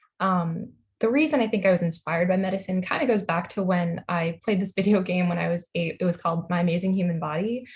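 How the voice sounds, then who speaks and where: A very fast woman with an American accent, medium pitch, ordinary pitch variation, a somewhat breathy sound and hardly any pauses. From Long Island, New York. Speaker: medical student. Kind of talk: video call introduction. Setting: video call.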